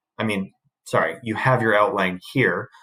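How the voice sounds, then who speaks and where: Captured in a very clean recording with a silent background, a man speaks at medium pitch with ordinary pitch variation and an ordinary speaking voice. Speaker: high school English teacher. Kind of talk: recorded lecture.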